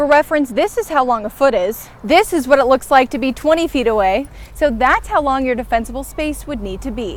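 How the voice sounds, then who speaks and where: At a moderate pace and with ordinary pitch variation, the voice comes through with music in the background. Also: woman. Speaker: TV news reporter. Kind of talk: TV news report.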